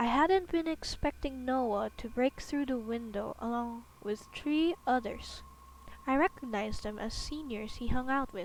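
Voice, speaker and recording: Soft-spoken delivery at a fairly slow pace. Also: woman, high pitch for a woman, ordinary pitch variation. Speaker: streamer reading horror stories. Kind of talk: casual chat; reading aloud.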